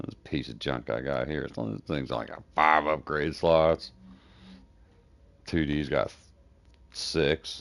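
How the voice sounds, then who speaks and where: With a very deep, low pitch and vocal fry, a man speaks in a relaxed tone, leaving long, frequent pauses. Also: ordinary pitch variation, fairly slow pace. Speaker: game streamer. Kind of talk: live gameplay stream commentary. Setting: live stream. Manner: talks low and mumbles when thinking; casual, relaxed.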